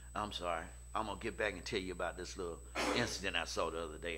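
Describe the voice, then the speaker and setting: A man speaks over light background noise. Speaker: preacher. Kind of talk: sermon. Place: church. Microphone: podium.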